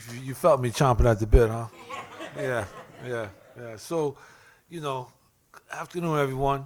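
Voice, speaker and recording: At a moderate pace, a man with a medium pitch and ordinary pitch variation talks with big swings in loudness and long, frequent pauses. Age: 60s. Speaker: addiction counselor and formerly incarcerated advocate. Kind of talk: panel testimony. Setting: legislative hearing room with audience.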